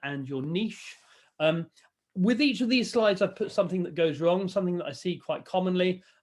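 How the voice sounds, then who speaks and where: High pitch from a man, fairly quick pace, ordinary pitch variation. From England, Cornwall. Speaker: professor and consultancy expert. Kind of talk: webinar presentation. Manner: fast.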